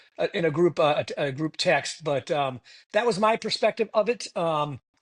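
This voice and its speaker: With an American accent, a man with a normal speaking voice talks at a fairly high pitch with ordinary pitch variation against a quiet background. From Massachusetts. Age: 60s. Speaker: retired air force officer. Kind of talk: podcast interview.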